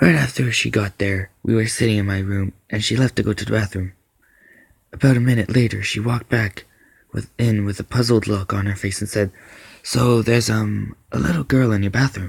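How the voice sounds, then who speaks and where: A man speaks at a fairly quick pace with a fairly low pitch. His voice is somewhat breathy, with ordinary pitch variation. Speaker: amateur story narrator. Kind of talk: horror story narration.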